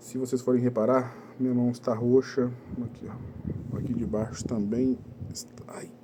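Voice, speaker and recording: A man speaks fairly slowly. There is noticeable background noise behind him. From Minas Gerais, Brazil (Belo Horizonte area). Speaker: vlogger sharing injury experience. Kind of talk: casual first-person vlog. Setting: at home.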